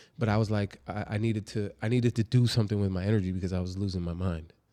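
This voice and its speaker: In a very clean recording with a silent background, a man speaks very fast with a fairly low pitch and fairly even intonation. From California (born in New Jersey). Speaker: martial arts instructor and educator. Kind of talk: casual interview.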